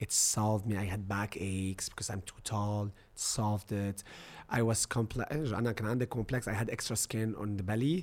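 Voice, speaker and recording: In a very clean recording with a silent background, a man with an Arabic accent talks at a moderate pace, his fairly low pitch moving in a fairly even intonation. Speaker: social media influencer. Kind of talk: casual chat.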